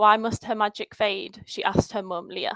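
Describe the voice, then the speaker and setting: Recorded with a dry, close sound and no echo, a woman with a northern English accent speaks at a moderate pace, medium pitch and fairly even intonation. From northern England. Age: 20s. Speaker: patient advocate. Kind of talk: conference talk, telling a personal story. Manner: storytelling.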